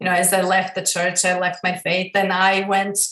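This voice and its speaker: A woman with a Croatian accent speaks at a moderate pace in a medium pitch. Her intonation is monotone and flat, and the room echo is audible. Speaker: female empowerment coach. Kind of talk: interview.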